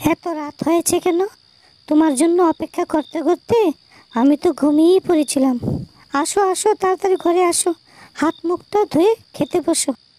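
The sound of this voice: In a cartoonish character voice, a woman speaks at an extremely high pitch and a moderate pace with ordinary pitch variation, the sound dry and close with no echo.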